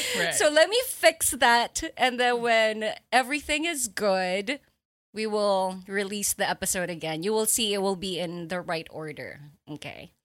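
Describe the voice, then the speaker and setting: A medium-pitched woman talks at a fairly slow pace, her pitch swinging very widely and her loudness rising and falling sharply. The recording is very clean, with a silent background. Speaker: podcast host. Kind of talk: casual chat.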